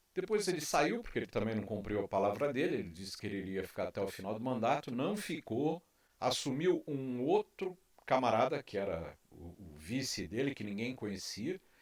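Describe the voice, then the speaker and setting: A man talks at a moderate pace and a medium pitch. His pitch swings very widely, and his loudness rises and falls a lot. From Brazil. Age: 60s. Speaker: YouTube commentator. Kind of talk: opinion monologue. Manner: impassioned.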